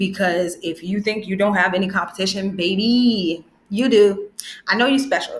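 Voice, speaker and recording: A woman's somewhat breathy, medium-pitched voice, upbeat and animated in tone, at a moderate pace. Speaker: branding educator, video creator. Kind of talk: tutorial. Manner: upbeat, animated.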